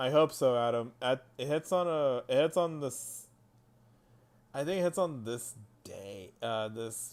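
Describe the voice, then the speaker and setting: The recording is very clean, with a silent background. A man speaks at a fairly slow pace with lively intonation. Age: 20s. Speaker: mobile game streamer. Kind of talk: casual live stream chat. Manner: halting, repetitive.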